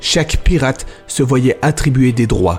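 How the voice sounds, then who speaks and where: With music playing in the background, a man talks at a moderate pace in a medium-pitched voice. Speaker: voice actor. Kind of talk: history podcast narration.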